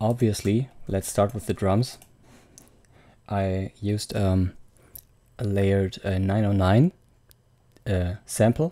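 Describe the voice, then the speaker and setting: Soft-spoken, a man talks at a very slow pace with long, frequent pauses. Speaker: music producer. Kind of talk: tutorial. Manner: quiet, speaking softly. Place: home room. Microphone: studio mic.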